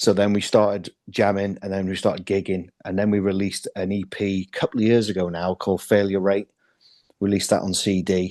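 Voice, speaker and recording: With a slight Welsh accent, a man talks at a fairly quick pace and a fairly low pitch. His tone is dark and mellow against a quiet background. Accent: slight Welsh twang. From North Wales (Llandudno). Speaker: metal band drummer. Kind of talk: interview.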